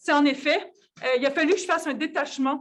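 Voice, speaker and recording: A woman with a Quebec accent, high-pitched, with ordinary pitch variation. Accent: Québécois. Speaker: physicist and researcher. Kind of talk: conference talk. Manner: hesitant, many fillers and repetitions.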